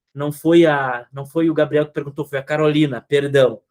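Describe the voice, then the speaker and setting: This man talks at a moderate pace. The recording is very clean and dry, with a silent background, a close sound and no echo. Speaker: psychologist. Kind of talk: clinical supervision session. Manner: animated.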